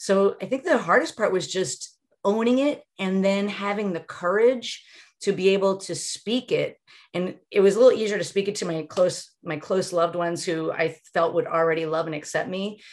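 A woman talks at a moderate pace with a medium pitch and ordinary pitch variation, in a normal speaking voice. The recording is very clean, with a silent background. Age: 50s. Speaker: relationship coach. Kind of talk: casual interview chat.

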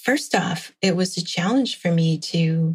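Somewhat breathy and fairly low in pitch, a woman speaks with an American accent. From Meskwaki settlement, central Iowa, US. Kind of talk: interview.

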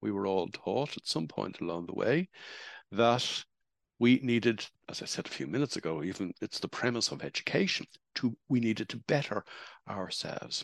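With an Irish accent and vocal fry, a man speaks at a medium pitch with very wide pitch swings, in a dry, close sound with no echo and a quiet background. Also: moderate pace. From Ireland. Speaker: spiritual speaker. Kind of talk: talk.

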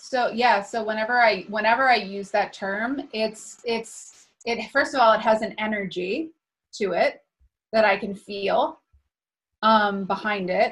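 A woman speaks at a fairly slow pace with fairly high pitch and ordinary pitch variation. Hers is a plain, everyday voice. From US Northeast, New Hampshire. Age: 30s. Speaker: spiritual teacher and healer. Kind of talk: casual interview conversation.

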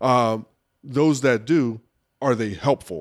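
A man uses a normal speaking voice at medium pitch with ordinary pitch variation, in a very clean recording with a silent background. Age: 40s. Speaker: professional speaker and leadership trainer. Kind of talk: casual chat. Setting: barn.

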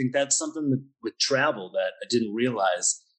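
A man with a Pennsylvania accent at a fairly quick pace. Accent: American (Pennsylvania). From US, Pennsylvania. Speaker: wine bar owner. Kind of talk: interview.

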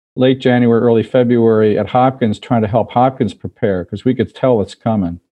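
An unremarkable speaking voice from a man at medium pitch, with ordinary pitch variation. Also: hardly any pauses. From US, Baltimore. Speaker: infectious disease physician and professor. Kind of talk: interview.

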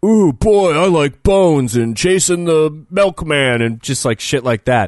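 Using a put-on character voice, a man talks at a fairly slow pace with a fairly high pitch. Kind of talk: casual, comedic. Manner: goofy, dopey, mocking.

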